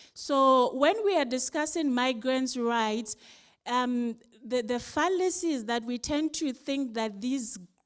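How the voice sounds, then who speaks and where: A woman in a Ghanaian accent, with a high pitch, lively intonation and a fairly slow pace. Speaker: civil society delegate giving feedback. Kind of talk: conference report-back.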